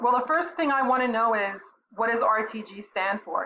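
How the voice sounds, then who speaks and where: Loud and at a moderate pace, a woman talks with lively intonation. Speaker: website reviewer and content writer. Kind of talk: website review commentary. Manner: loud and clear; halting with fillers.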